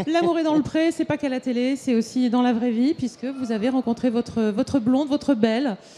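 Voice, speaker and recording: Extremely high-pitched for a man, his voice moves at a fairly quick pace with ordinary pitch variation. He barely pauses at all. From Auvergne. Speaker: TV show host. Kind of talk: live TV interview. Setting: live broadcast at agricultural fair. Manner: hesitant, many fillers.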